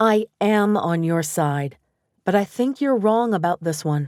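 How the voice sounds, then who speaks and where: A woman puts on a character voice at a medium pitch, with lively intonation and very even loudness. She talks at a fairly slow pace, and the sound is dry and close with no echo. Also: very clean recording, silent background. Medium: read story.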